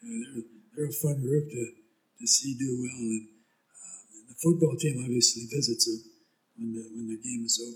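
With an American accent, a man talks at a medium pitch and moderate pace, his somewhat breathy voice showing fairly even intonation, big swings in loudness, and long, frequent pauses. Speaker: high school sports announcer. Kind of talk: casual chat.

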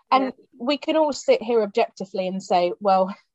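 Ordinary pitch variation in a British accent, with a dry, close sound and no echo. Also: woman. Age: 30s. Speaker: podcast host. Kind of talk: casual chat.

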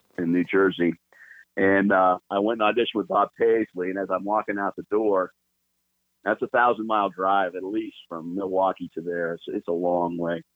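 This man has a plain, everyday voice, pitched fairly low. He keeps a moderate pace and fairly even intonation. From California, Los Angeles. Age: 50s. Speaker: bluegrass bass player. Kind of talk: casual chat.

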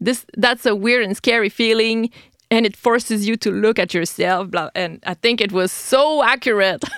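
A French Canadian accent at a moderate pace with ordinary pitch variation, dry, close sound with no echo, and a very clean recording with a silent background. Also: woman, fairly high pitch for a woman. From Quebec City, Canada. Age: 30s. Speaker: podcast host. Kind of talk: podcast intro and interview. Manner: friendly, casual, laughs often.

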